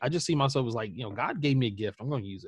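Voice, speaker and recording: A man with an unremarkable speaking voice, medium in pitch and lively in intonation, on a very clean recording with a silent background. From US South, South Carolina. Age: 40s. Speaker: creative entrepreneur and blogger. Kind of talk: casual interview.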